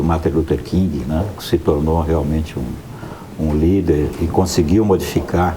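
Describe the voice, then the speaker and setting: Very deep, low male voice at a fairly slow pace, with audible room echo and noticeable background noise. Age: 60s. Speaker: news commentator. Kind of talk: panel discussion.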